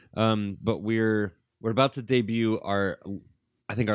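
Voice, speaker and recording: A normal speaking voice from a man with an American accent, fairly slow and with ordinary pitch variation, against a quiet background. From US Midwest (Gary, Indiana, near Chicago). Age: 20s. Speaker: filmmaker. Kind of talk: casual chat.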